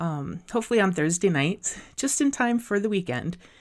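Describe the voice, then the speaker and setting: In an Upper Midwest accent, a woman speaks at a moderate pace. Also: very clean recording, silent background. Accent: Upper Midwest American. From South Dakota. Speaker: podcast host. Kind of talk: scripted podcast intro monologue.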